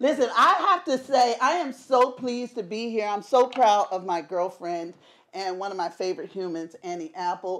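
A loud woman's voice at medium pitch, with a fairly bright tone, fairly even intonation and a moderate pace. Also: few pauses.

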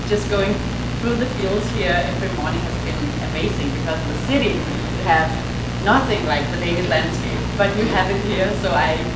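Loud background noise and audible room echo fill the recording. The speech moves at a moderate pace. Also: woman. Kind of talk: lecture. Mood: warm, cheerful. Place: hall.

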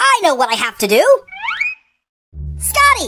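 In a cartoonish character voice, a man talks at a moderate pace over faint music and sound effects in the background. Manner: excitable, whiny.

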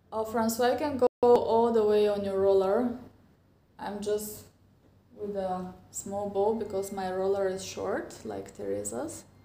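With audible room echo, a woman speaks at a fairly slow pace and ordinary pitch variation. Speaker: fitness instructor. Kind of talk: tutorial. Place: home room. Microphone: lapel.

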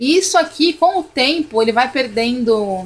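Her pitch high and her intonation lively, a woman is speaking. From Brazil. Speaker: YouTuber, home product reviewer. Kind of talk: product review tutorial. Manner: casual, chatty with fillers. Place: kitchen. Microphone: phone near.

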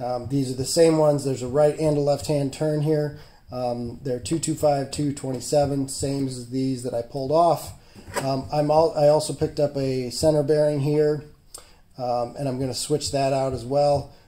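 Keeping his intonation fairly even, a man speaks at a moderate pace. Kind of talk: tutorial. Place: garage. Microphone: phone near.

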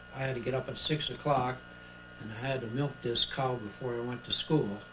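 With an American accent, a man talks at a moderate pace in a monotone, flat intonation over noticeable background noise. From Pennsylvania, USA. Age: 80s+. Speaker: retired chemical engineer and inventor. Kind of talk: interview answer. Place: home room. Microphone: old recording.

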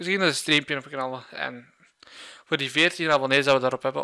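The tone is bright and sharp. The background is quiet. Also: man. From Flanders, Belgium. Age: 20s. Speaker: gaming YouTuber; youtuber. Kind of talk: vlog monologue. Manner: halting. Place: home room. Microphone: studio mic.

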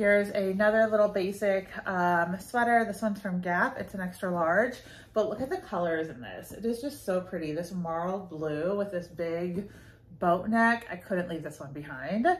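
The somewhat breathy voice keeps a moderate pace, with ordinary pitch variation and big swings in loudness. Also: woman. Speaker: clothing reseller. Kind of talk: casual vlog chat. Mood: upbeat, chatty. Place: home room. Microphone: phone near.

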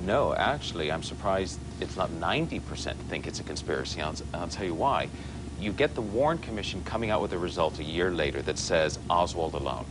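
The speech moves at a fairly quick pace, with noticeable background noise underneath. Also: man, very deep, low pitch for a man. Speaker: guest. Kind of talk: interview answer. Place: studio. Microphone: lapel.

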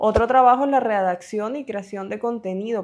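Over a quiet background, a woman talks at a moderate pace. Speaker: online career educator. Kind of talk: scripted narration. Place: home room. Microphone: lapel.

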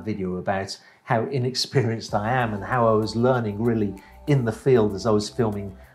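Faint music plays behind a man whose fairly low voice keeps a fairly even intonation. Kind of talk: casual vlog chat. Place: office. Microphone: lapel.

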